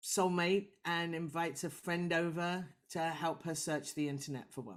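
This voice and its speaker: A woman speaks with a fairly low pitch. The recording is very clean, with a silent background. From UK. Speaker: film director. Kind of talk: interview answer. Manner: humorous, lively.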